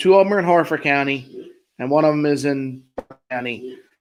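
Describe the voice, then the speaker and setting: With a Maryland accent, a man speaks at a moderate pace. His voice is fairly high, with ordinary pitch variation. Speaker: podcast host. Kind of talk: casual chat.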